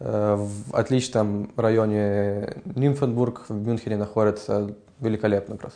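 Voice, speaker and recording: A man talks in a dark, mellow tone at a fairly low pitch. His pace is fairly slow and his intonation fairly even. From Ukraine. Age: 20s. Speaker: music student. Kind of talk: interview. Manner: hesitant, many filler sounds.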